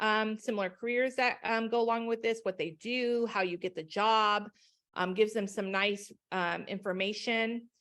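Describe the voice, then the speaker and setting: A woman at a moderate pace, an ordinary speaking voice, fairly high in pitch. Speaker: education company trainer. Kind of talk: webinar presentation.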